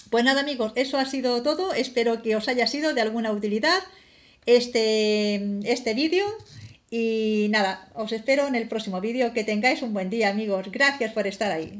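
Here is a woman with a fairly high pitch. She talks at a moderate pace with ordinary pitch variation. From Spain. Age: 50s. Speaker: beauty vlogger; product reviewer. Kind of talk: product review vlog. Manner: halting. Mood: warm, calm. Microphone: phone near.

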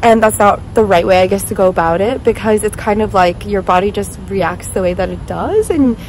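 Amid light background noise, a woman speaks at a moderate pace with ordinary pitch variation, the sound dry with no echo. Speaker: vlogger. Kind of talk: casual vlog chat. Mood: reflective, talking about therapy. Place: street. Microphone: phone near.

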